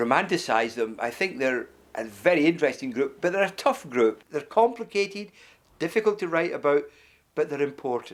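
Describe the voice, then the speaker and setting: A man speaks in a Glasgow accent at a fairly quick pace. His pitch sits fairly high and makes very wide swings. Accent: Scottish (Glasgow). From Scotland, Glasgow. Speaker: author. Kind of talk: interview talk about his book. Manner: hesitant, with fillers and repetitions.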